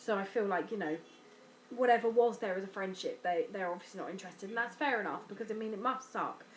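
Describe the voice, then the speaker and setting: Speaking at a fairly quick pace, a woman with an English accent uses ordinary pitch variation. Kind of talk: personal vlog. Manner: hesitant, mumbling.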